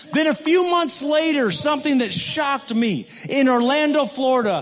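Noticeable background noise sits behind a man with an American accent. His pitch is extremely high. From West Michigan, US. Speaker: missionary. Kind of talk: sermon. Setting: church.

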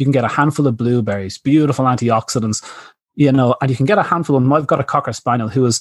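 With an Irish accent, the speaker talks at a very fast pace with ordinary pitch variation. The recording is very clean, with a silent background. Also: man. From Ireland. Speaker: veterinarian and pet nutrition author. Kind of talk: interview. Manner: hesitant fillers; animated.

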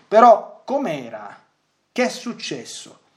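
A man's voice with audible room echo. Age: 40s. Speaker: priest and radio catechist. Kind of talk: lecture. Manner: halting.

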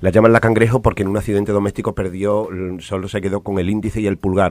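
Very fast talk from a man, the sound dry and close with no echo. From Spain, Extremadura (Almendralejo). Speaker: playwright. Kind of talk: interview. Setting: studio. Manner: halting.

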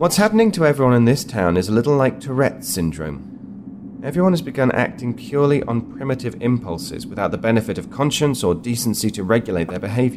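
Over noticeable background noise, a man talks very fast at a medium pitch, his voice swinging very widely in pitch. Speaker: actor playing a character. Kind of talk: scripted audio drama dialogue.

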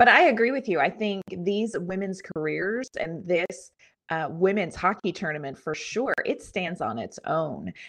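A woman talks in a normal speaking voice at medium pitch. Her intonation is lively and her pace fairly slow. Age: 40s. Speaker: hockey podcast co-host. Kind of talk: casual chat.

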